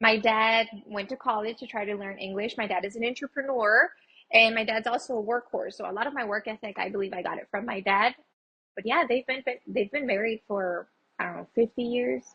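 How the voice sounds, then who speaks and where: A woman speaks in a Spanish accent at a fairly quick pace. Her pitch is fairly high, with ordinary variation. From Texas, El Paso. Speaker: small business owner. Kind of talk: interview.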